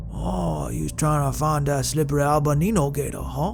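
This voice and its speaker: Someone does a put-on character voice at a moderate pace. Loud background noise fills the recording. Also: man. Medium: read story. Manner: drawling, laconic.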